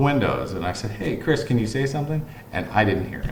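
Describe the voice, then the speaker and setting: Lively intonation at a very fast pace, with audible room echo. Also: man. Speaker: vlogger. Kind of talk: personal monologue. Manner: casual, rambling delivery with repetitions.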